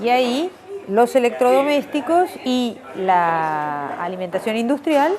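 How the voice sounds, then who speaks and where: A woman's very slow speech with very wide pitch swings over noticeable background noise. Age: 60s. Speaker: anthropologist. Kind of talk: interview.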